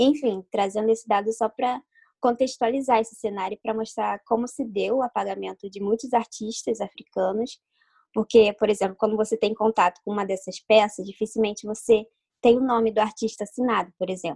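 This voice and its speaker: Her voice fairly high in pitch and dark and mellow in tone, a woman speaks at a fairly quick pace, the sound dry and close with no echo. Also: fairly even intonation. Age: 20s. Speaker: illustrator. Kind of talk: interview.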